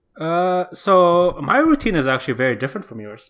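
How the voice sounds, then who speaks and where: A man with an Indonesian accent speaks at a moderate pace with very wide pitch swings, on a very clean recording with a silent background. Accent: Indonesian, international-school English. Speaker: podcast co-host and editor. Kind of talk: casual chat.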